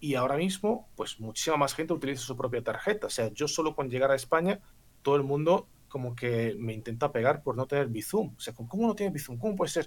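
A man's fairly high voice with a non-native accent, lively intonation, and a very fast pace. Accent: foreign accent in Spanish. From Bulgaria. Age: 30s. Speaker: former poker player. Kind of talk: casual chat. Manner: articulate, precise wording.

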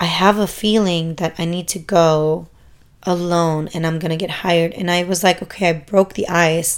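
The delivery is monotone, with flat intonation. The recording is very clean, with a silent background. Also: woman. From Germany. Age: 20s. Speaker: podcast host and exotic dancer. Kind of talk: casual monologue. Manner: informal, many fillers.

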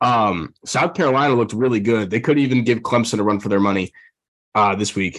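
With an American accent and an unremarkable speaking voice, a man talks at a fairly quick pace, using a medium pitch and ordinary pitch variation. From Texas, Dallas. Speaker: sports betting podcast host. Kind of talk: casual chat.

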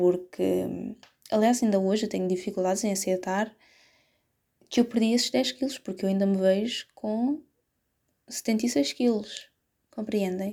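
A woman speaks at a medium pitch with ordinary variation in her pitch. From Portugal, Setúbal. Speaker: podcaster. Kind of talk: casual solo podcast monologue. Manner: hesitant, many fillers.

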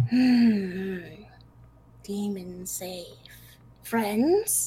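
A whispered, put-on character voice. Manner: whispering.

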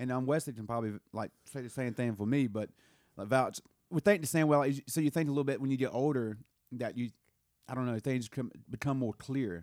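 Speaking at a fairly quick pace with a Southern US accent, a man keeps a medium pitch and ordinary pitch variation. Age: 30s. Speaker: podcast host and musician. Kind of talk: casual chat.

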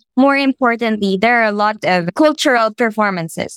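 A woman with a Filipino accent speaks at a moderate pace and a fairly high pitch with ordinary pitch variation, in a dry, close sound with no echo. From Philippines. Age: 20s. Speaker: labor organizer. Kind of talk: casual interview conversation.

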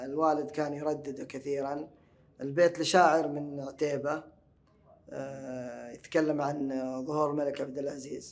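At a fairly slow pace, a man with a fairly high pitch talks in an unremarkable speaking voice. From Hejaz, Saudi Arabia. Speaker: translator and language enthusiast. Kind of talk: podcast interview. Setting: stage with audience at book fair. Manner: formal, articulate, classical vocabulary.

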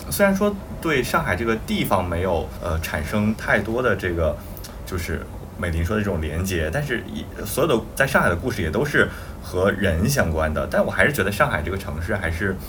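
A man with a very deep, low pitch speaks with lively intonation. Audible room echo and noticeable background noise are present. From Weihai, Shandong. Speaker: podcast co-host. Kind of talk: casual chat.

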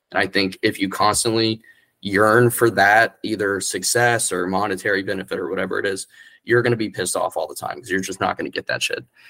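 Recorded very cleanly against a silent background, a man with an American accent speaks at a very fast pace. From central Florida, rural Orlando area. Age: 20s. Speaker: small press founder and writer. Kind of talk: casual chat.

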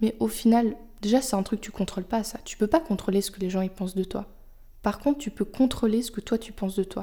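A woman speaks with a dark, mellow tone at a fairly high pitch, somewhat breathy. Her loudness swings widely. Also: ordinary pitch variation. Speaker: podcast host. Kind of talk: solo monologue. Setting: home, on her sofa. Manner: unscripted, hesitant.

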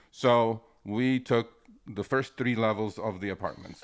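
A man speaks with an Armenian accent. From Istanbul, Turkey (Armenian). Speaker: rideshare driver, former finance worker. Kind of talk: casual interview. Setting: at his home.

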